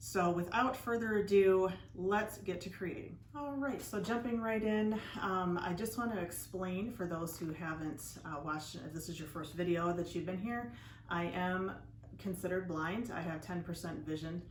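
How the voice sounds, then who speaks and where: Audible room echo frames a woman talking at a moderate pace with fairly low pitch and ordinary pitch variation. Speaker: DIY channel host. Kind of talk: tutorial. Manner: casual, conversational with fillers.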